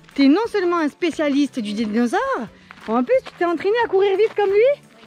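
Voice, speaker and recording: With music in the background, a woman talks at an extremely high pitch and a fairly quick pace, her pitch swinging very widely in a dry, close sound with no echo. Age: 40s. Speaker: family vlogger. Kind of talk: casual vlog chat. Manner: animated.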